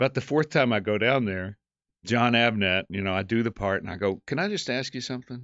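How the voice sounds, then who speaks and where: A man's medium-pitched voice with a Southern US accent, at a fairly quick pace. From Western North Carolina. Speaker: actor and director. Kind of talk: casual interview.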